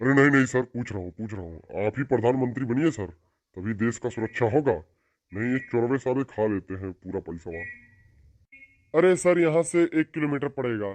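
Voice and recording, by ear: In a cartoonish character voice, a man speaks at a medium pitch with lively intonation and a fairly quick pace. The sound is dry and close with no echo.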